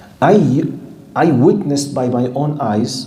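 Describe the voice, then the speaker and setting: Amid noticeable background noise and audible room echo, a man with an Arabic accent speaks with ordinary pitch variation. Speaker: Islamic scholar and teacher. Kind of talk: lecture. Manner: animated.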